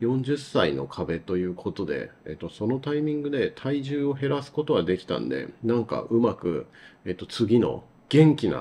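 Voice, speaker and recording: This man has a dark, mellow tone at medium pitch. He talks at a moderate pace. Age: 40s. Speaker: advertising producer and solo channel host. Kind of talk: casual solo talk. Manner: halting, many filler sounds. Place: home room.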